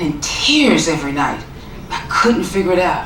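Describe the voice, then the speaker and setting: Noticeable background noise and audible room echo surround a woman speaking with lively intonation in a Southern US accent. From US South, Tennessee (small town). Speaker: author and motivational speaker. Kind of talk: keynote talk.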